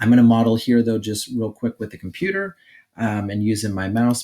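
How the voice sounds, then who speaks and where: At a fairly quick pace, a man with a normal speaking voice talks with fairly even intonation. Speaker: teacher making tutorials for staff. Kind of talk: tutorial. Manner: casual, with fillers.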